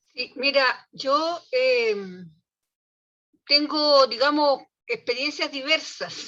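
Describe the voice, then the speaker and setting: Speaking in a Chilean accent, a woman talks at a very slow pace with long, frequent pauses. Her pitch is high and her intonation lively. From Chile, small town. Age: 70s. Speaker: early childhood education professional. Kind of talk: casual discussion in online talk.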